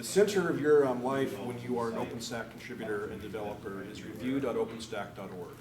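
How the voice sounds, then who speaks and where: A medium-pitched man at a moderate pace, with noticeable background noise and audible room echo. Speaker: open source director leading a conference session. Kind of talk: workshop session talk. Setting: breakout session room with small audience. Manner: many filler words, halting; loud.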